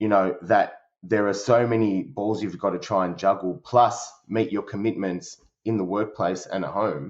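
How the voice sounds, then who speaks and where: With hardly any pauses, a man in an Australian accent speaks at a moderate pace in a fairly low pitch with ordinary pitch variation. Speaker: service director at a company. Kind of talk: podcast interview. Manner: halting, many fillers.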